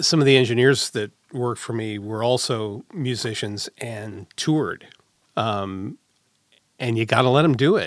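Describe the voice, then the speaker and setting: A man with a normal speaking voice and medium pitch talks at a moderate pace with ordinary pitch variation over a quiet background. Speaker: audio engineer and voiceover actor. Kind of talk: casual chat. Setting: studio.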